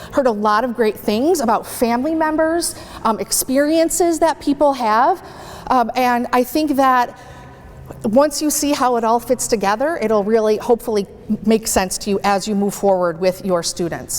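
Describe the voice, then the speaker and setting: Over noticeable background noise, the speaker is loud, with lively intonation and a moderate pace. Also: woman, high pitch for a woman. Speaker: transition specialist speaking at a community panel. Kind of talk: presentation to an audience. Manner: animated.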